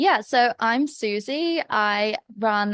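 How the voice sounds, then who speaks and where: A woman with an English accent speaks at a fairly high pitch with ordinary pitch variation. The sound is dry and close with no echo, over a quiet background. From England. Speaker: business coach. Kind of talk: podcast interview.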